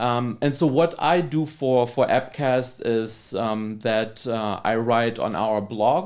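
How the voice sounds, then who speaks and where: With a German accent, a man of medium pitch talks at a very slow pace, with ordinary pitch variation and hardly any pauses. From Germany. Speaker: labor economist. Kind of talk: podcast interview.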